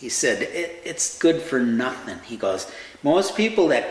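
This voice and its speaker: With an Upper Midwest accent and a fairly high pitch, a man speaks at a fairly slow pace amid noticeable background noise and audible room echo. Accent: Upper Midwest (Minnesota). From Central Minnesota. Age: 60s. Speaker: heart transplant survivor. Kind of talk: personal storytelling. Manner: halting, many fillers and repeats.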